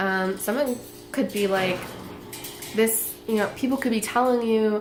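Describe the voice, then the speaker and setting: A woman speaks with lively intonation over background music, with audible echo in the room. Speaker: tarot reader. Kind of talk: tarot reading monologue. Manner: casual, many fillers; speaking louder.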